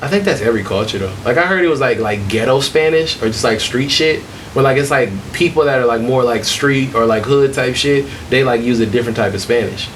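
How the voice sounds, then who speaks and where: A man with a Detroit accent talks at a fairly quick pace, his loudness very even. Audible room echo and noticeable background noise surround him. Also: medium pitch for a man, ordinary pitch variation. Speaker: podcast host. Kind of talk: casual chat.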